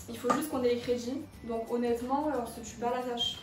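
A woman with a Marseille accent speaks at a moderate pace and a high pitch. The room echo is audible, and there is light background noise. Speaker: business school student. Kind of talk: casual talk to camera. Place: home room. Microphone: camera far.

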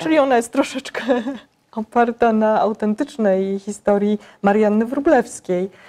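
A woman's fairly high-pitched voice with a dark, mellow tone, ordinary pitch variation, very even loudness and a moderate pace. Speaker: magazine interviewer. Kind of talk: interview questions. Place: hall. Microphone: lapel.

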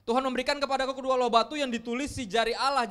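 A raised, projected voice with a bright, sharp tone and fairly even intonation, over a quiet background. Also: man. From Indonesia. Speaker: pastor. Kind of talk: sermon. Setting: church. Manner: casual, conversational. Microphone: handheld.

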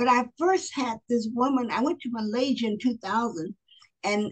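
With an American accent, a woman talks at a moderate pace and a high pitch, using ordinary pitch variation against a quiet background. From US South, Pensacola Florida; Florida. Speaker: author and motivational speaker; motivational speaker. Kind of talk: interview. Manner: expressive. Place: home room. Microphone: video call.

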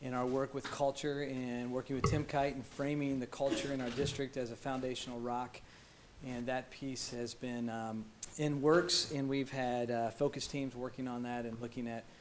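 Spoken at a moderate pace in a monotone, flat intonation, with light background noise. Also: man. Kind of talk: formal presentation. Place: meeting room.

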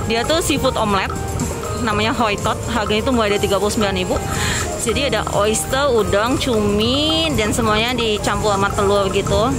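Someone speaks at a moderate pace over clear music in the background. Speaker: place vlogger. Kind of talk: casual vlog commentary. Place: street. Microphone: phone near.

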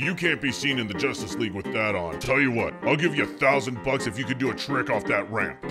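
Clear music plays in the background as a man does a put-on character voice. He speaks at a fairly quick pace with a medium pitch. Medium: machinima. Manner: dry, curt.

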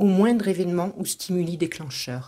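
Heard on a very clean recording with a silent background, a woman speaks at a fairly slow pace and a medium pitch, her tone dark and mellow. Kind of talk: guided meditation. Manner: soft, calm, slow and soothing.

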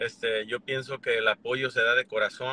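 A man talks at a fairly slow pace, the sound dry with no echo and light background noise behind him. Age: 40s. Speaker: YouTuber. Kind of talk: casual chat. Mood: calm, reconciling. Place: car. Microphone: phone near.

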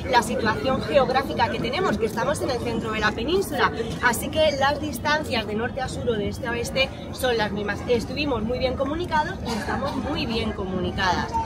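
A woman at a fairly quick pace, dry sound with no echo, crowd noise in the background. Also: ordinary pitch variation. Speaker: tour guide. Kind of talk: guided tour explanation. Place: street.

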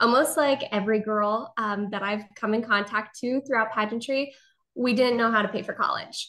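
At a moderate pace, a woman talks with ordinary pitch variation over a quiet background. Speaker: podcast guest. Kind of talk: interview answer. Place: home room. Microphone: video call.

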